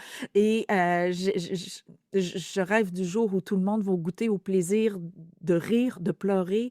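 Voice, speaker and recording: Speaking at a fairly slow pace, a woman with a medium pitch and a dark, mellow tone keeps her intonation fairly even, in a dry, close sound with no echo on a very clean recording with a silent background. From Quebec. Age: 50s. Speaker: author and speaker. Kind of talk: testimony. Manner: intense.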